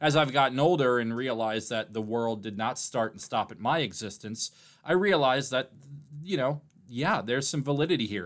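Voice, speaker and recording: A man with an American accent and an ordinary speaking voice talks at a medium pitch and a fairly quick pace with lively intonation. The recording is very clean, with a silent background. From Milwaukee, Wisconsin, US Midwest. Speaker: sports podcast host. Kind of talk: casual interview chat.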